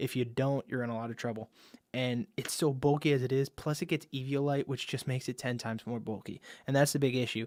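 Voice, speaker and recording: This man has a medium pitch. He talks at a very fast pace. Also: very clean recording, silent background. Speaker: Pokemon league analyst. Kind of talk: casual commentary video. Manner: stumbles over words; animated.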